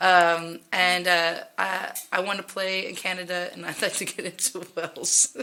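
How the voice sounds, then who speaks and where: Delivered at a moderate pace in an American accent, the speech stays monotone and flat in intonation while its loudness swings widely over noticeable background noise. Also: woman, medium pitch for a woman. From Texas. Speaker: singer-songwriter, musician. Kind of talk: casual interview chat.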